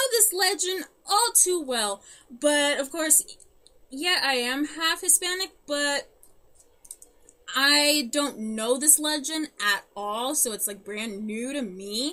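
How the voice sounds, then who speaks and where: A woman's raised, projected voice, high in pitch and bright and sharp in tone, moves very slowly with very wide pitch swings. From German-speaking family. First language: German. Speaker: podcast co-host. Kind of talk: casual chat. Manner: halting.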